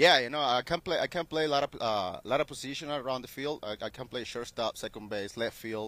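In a Spanish accent, a man talks very fast with a bright, sharp tone and ordinary pitch variation, recorded very clean, dry and close, with a silent background and no echo. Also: medium pitch for a man. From Venezuela. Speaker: professional baseball player. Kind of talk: interview. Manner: halting.

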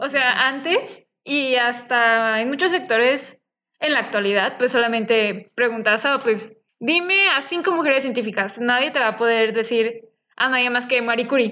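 A woman with a high pitch and a bright, sharp tone speaks at a fairly slow pace, her loudness very even and her pitch variation ordinary. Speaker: biotechnology student podcast co-host. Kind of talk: casual chat.

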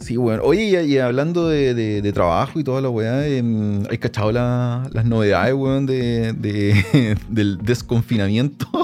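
With a Chilean accent, a man of medium pitch talks fairly slowly with ordinary pitch variation over noticeable background noise. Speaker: podcast host, sound engineer. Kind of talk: casual chat.

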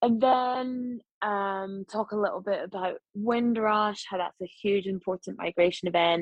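In a Scottish accent, a woman speaks at a fairly slow pace with hardly any pauses, a medium pitch and fairly even intonation. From Scotland, Glasgow. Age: 40s. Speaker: journalist and broadcaster. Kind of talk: casual chat. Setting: video call.

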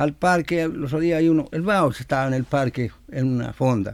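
A man with a Chilean accent, his pitch fairly high, at a fairly quick pace. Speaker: cueca singer and composer. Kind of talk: interview. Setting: studio.

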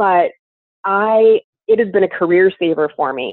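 A woman talks in an ordinary speaking voice. Her pitch is medium, with ordinary variation. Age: 30s. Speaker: massage therapist and esthetician. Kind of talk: casual interview.

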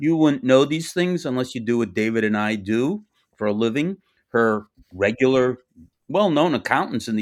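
With an American accent, a man talks at a moderate pace in an ordinary speaking voice, with medium pitch and lively intonation. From US, Boston. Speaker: tax lawyer. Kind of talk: interview.

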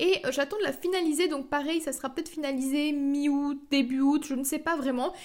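Her intonation fairly even, a woman speaks in a high pitch with hardly any pauses. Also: fairly quick pace. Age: 20s. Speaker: podcaster and online entrepreneur. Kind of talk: solo podcast monologue.

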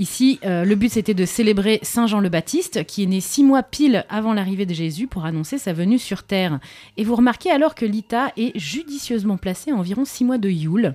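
A woman speaks at a moderate pace with a dark, mellow tone. The recording is very clean, with a silent background. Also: medium pitch for a woman. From southern France. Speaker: radio columnist. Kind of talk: radio chronicle, casual monologue.

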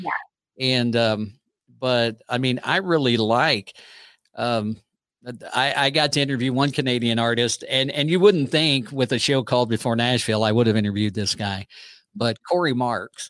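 Moving at a moderate speed, an unremarkable speaking voice shows ordinary pitch variation. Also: man, medium pitch for a man. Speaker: podcast host. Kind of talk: casual interview chat.

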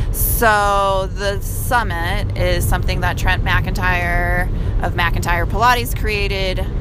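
A woman talks very slowly, with audible room echo and noticeable background noise around her. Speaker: podcast co-host. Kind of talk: casual chat. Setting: in a car.

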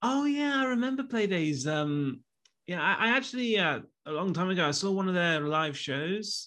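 A man with an East Midlands accent uses a raised, projected voice at a high pitch, with a bright, sharp tone and very wide pitch swings. He keeps a moderate pace and very even loudness against a quiet background. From Leicester, England. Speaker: YouTuber. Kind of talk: interview.

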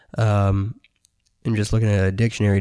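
The speaker is a man with a fairly low pitch. His tone is dark and mellow. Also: very clean recording, silent background. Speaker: podcast host. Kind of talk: casual chat.

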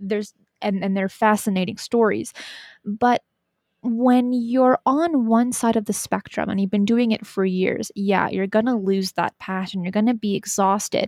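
A woman talks in an ordinary speaking voice, fairly high in pitch, at a moderate pace with fairly even intonation. The recording is very clean with a silent background and a dry, close sound with no echo. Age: 20s. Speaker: YouTube host on paranormal topics. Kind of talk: casual chat.

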